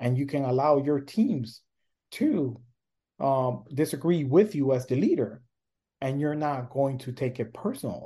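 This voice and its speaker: Speaking with a slight non-native accent, a man uses a fairly high pitch and a dark, mellow, somewhat breathy tone at a fairly slow pace with ordinary pitch variation. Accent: slight foreign. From born abroad, raised in US from early age. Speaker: leadership coach and professor. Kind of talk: interview conversation. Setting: remote call. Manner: hesitant, many fillers.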